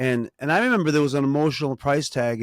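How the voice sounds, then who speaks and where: A man with an American accent talks in a normal speaking voice at a moderate pace, his intonation fairly even. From Boston, Massachusetts. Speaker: podcast co-host. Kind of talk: casual chat.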